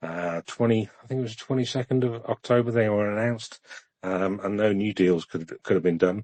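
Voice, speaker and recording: A man with a British accent at a fairly quick pace, his intonation fairly even. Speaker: podcast co-host discussing Ukraine news. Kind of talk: casual discussion on live audio space. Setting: live X audio space. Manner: monotone; hesitant, many fillers.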